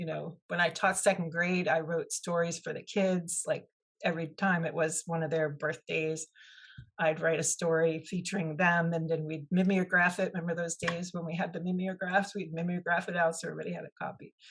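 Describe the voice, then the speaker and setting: A somewhat breathy woman talks at a fairly quick pace in a fairly low pitch, with monotone, flat intonation. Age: 60s. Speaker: author and former teacher. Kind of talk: interview.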